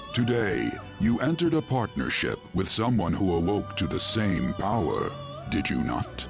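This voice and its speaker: Over loud background music, a man uses a cartoonish character voice with a very deep, low pitch at a moderate pace. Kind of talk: mysterious mentor. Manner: formal, measured, archaic phrasing.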